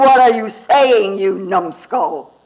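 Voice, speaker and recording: A man's put-on character voice, growling at an extremely high pitch with lively intonation. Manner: haughty, contemptuous.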